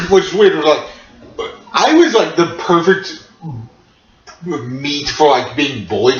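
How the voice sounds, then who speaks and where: Noticeable background noise and audible room echo both accompany a man talking. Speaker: podcast host. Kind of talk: casual chat. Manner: halting.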